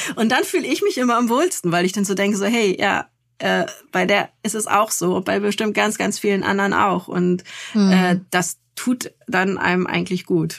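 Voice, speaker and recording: Here is a woman with an ordinary speaking voice at medium pitch and a moderate pace. Her intonation is fairly even and her loudness is very even. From northern Germany, Lübeck. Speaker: journalist and parenting blogger. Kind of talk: interview.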